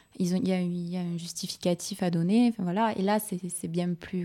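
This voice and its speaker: A woman speaks at a fairly slow pace in a monotone, flat delivery, her medium-pitched voice dark and mellow, on a very clean recording with a silent background. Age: 30s. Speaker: schoolteacher. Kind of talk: radio panel discussion.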